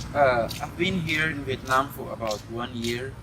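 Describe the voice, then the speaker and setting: Amid noticeable background noise and audible room echo, a man with a Portuguese accent speaks at a fairly slow pace. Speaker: foreign university student interviewee. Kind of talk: street interview.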